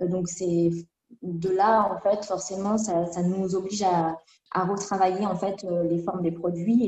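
A woman speaks at a fairly slow pace with a medium pitch. Her intonation is monotone and flat. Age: 20s. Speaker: cosmetics chemist and brand co-founder. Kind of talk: interview. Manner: halting.

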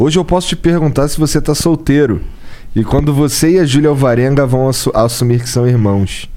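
Speaking at a moderate pace in a Carioca accent, a man uses a fairly high pitch with ordinary pitch variation. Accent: carioca Brazilian Portuguese. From Rio de Janeiro, Brazil (north zone). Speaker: podcast co-host. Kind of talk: casual podcast interview. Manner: slangy, casual.

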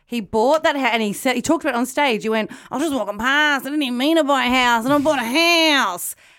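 Very fast and with hardly any pauses, a woman talks at a high pitch in a bright, sharp tone with ordinary pitch variation, captured on a very clean recording with a silent background. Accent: Australian. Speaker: podcast host. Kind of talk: casual chat.

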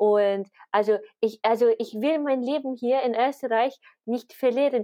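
A woman with an English accent and a high pitch speaks at a very slow pace with ordinary pitch variation. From Britain. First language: English (speaking German). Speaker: media researcher, podcast co-host. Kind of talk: casual chat about politics.

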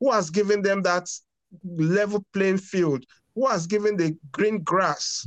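Speaking at a fairly slow pace, a man with a high pitch keeps his loudness very even. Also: ordinary pitch variation. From Nigeria, Lagos. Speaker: foundation co-founder. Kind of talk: interview.

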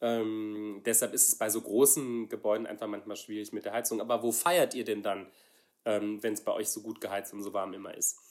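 On a very clean recording with a silent background, a man talks at a moderate pace. His voice is fairly low with fairly even intonation. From Saarland, Germany. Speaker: pastor. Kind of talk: casual chat. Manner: halting.

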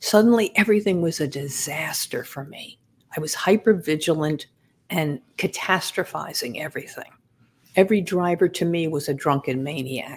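Speaking with a New York accent at a moderate pace, a woman with a fairly low voice uses ordinary pitch variation while her loudness swings widely. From Long Island, New York. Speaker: former medical examiner investigator and author. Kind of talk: interview.

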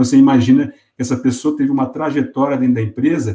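A man with an ordinary speaking voice. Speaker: company executive. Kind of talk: interview.

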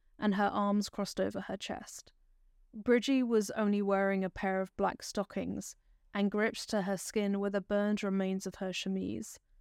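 A woman's medium-pitched voice, gentle and solemn in tone, monotone and flat, at a moderate pace, in a very clean recording with a silent background and a dry, close sound with no echo. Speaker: true crime podcaster. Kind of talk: true-crime narration, scripted storytelling of a historical murder case. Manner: measured, solemn, sombre storyteller pace, clear and factual; gentle and caring in direct address to listeners.

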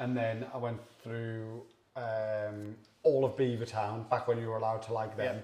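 Audible room echo surrounds a man speaking at a moderate pace. His medium-pitched voice has monotone, flat intonation. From Sunderland, northeast England. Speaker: beer reviewer. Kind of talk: casual chat.

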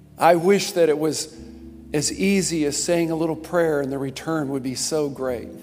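Backed by music and audible room echo, a man with a fairly high pitch talks at a moderate pace with fairly even intonation. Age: 50s. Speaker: pastor. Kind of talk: sermon.

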